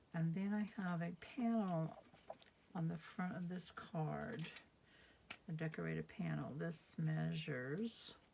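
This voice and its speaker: Pausing long and often, a woman speaks at a fairly slow pace. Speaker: craft demonstrator. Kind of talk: tutorial. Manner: sometimes gets very quiet; casual, hesitant with fillers.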